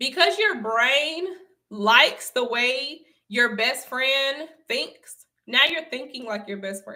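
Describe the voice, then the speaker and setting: A woman's raised, projected voice with an American accent, high-pitched, bright and sharp in tone, with lively intonation, big swings in loudness and a very slow pace. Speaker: online motivational speaker. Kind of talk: livestream talk.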